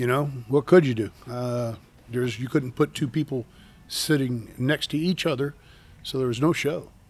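A man with a plain, everyday voice, medium pitch and an American accent, fairly even intonation at a moderate pace. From US South, Tampa, Florida. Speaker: airboat tour captain. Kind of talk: casual chat.

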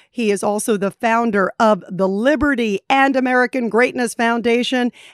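A woman talks in an unremarkable speaking voice at a fairly high pitch and a fairly slow pace, with ordinary pitch variation. The sound is dry and close with no echo, on a very clean recording with a silent background. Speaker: journalist and radio host. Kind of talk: interview.

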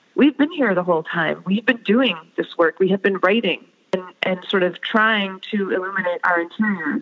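A woman at a medium pitch with an American accent, an unremarkable speaking voice, lively intonation and a moderate pace. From US. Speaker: author. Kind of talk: interview. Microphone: poor audio quality.

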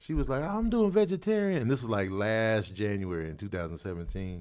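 In a very clean recording with a silent background, a man speaks in an unremarkable speaking voice, fairly low in pitch, with ordinary pitch variation. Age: 40s. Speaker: comedian. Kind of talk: casual chat.

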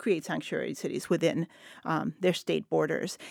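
In a Spanish accent, a woman talks at a moderate pace on a very clean recording with a silent background and a dry, close sound with no echo. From El Paso, West Texas. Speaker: literature professor. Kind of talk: roundtable discussion. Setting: studio.

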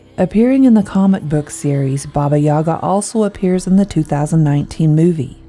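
A woman's fairly low voice in a dramatic tone at a fairly slow pace, with music in the background. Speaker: podcast narrator. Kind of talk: scripted horror storytelling narration. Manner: dramatic, suspenseful, measured.

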